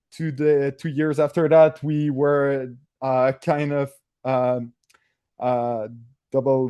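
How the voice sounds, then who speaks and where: With flat, monotone intonation, a man speaks at a medium pitch. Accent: French-Canadian. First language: French. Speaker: engineer at a 3D printing hardware company. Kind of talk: technical presentation. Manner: hesitant, many filler sounds.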